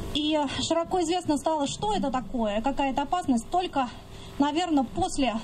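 Light background noise sits under a woman speaking at a high pitch. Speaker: environmental activist. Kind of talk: rally speech. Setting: outdoors. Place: open country.

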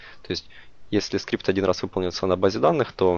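A man with a very deep, low voice talks very fast, keeping his intonation fairly even. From Ukraine, Dnipro. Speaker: software developer. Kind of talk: conference tech talk. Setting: stage with audience. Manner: halting, many filler words.

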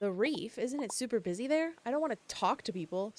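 A whiny, female-sounding put-on character voice, fairly high in pitch, at a fairly quick pace. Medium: game stream. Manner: nervous, whiny, self-soothing.

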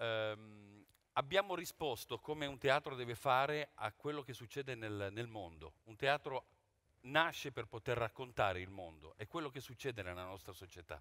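A man talks at a moderate pace with a bright, sharp tone and lively intonation. His loudness swings widely against a quiet background. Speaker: theatre director. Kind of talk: press conference presentation. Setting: theatre stage with press audience. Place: stage.

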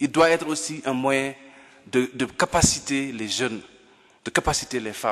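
Delivered at a fairly slow pace against a quiet background, this is an unremarkable speaking voice with ordinary pitch variation. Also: man, medium pitch for a man. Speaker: civil society leader; speaker. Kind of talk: formal panel speech. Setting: conference hall. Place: hall. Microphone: podium.

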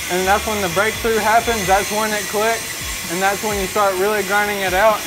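Music sounds in the background. Over it, a man speaks very fast. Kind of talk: interview answer. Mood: earnest, grateful. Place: workshop. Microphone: lapel.

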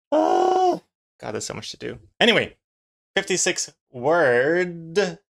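Speech comes at a very slow pace with big swings in loudness. The background is quiet. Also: man. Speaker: streamer. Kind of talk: casual stream chat. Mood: amused, laughing. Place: home room.

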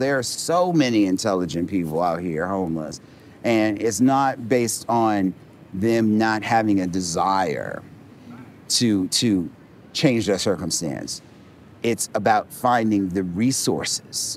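A man speaks in an ordinary speaking voice, fairly low in pitch, with lively intonation at a fairly slow pace, in a dry sound with no echo over light background noise. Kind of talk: interview answer. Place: street. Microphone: lapel.

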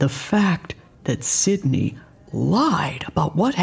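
The passage is delivered as reading aloud in a natural voice.

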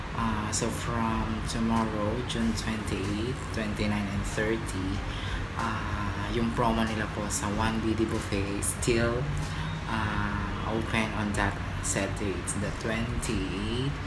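A man speaks at a fairly slow pace. Loud background noise runs behind him. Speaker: vlogger promoting a restaurant. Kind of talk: casual vlog chat. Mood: upbeat promotional. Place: home room. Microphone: phone near.

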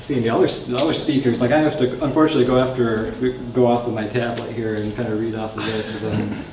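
At a very fast pace and with fairly even intonation, the voice comes through audible room echo and light background noise. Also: man. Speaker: startup founder; presenter. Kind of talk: startup pitch and Q&A. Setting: stage with audience. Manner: casual, filler-heavy. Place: classroom.

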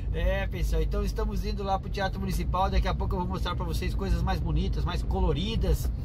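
Music in the background under a man's fairly quick speech. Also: hardly any pauses. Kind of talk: casual vlog chat. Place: car. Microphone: phone near.

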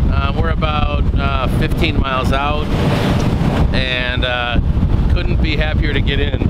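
Loud background noise surrounds a man speaking at a moderate pace. The sound itself is dry, with no echo. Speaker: sailing vlogger. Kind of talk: casual vlog chat. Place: boat. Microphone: phone near.

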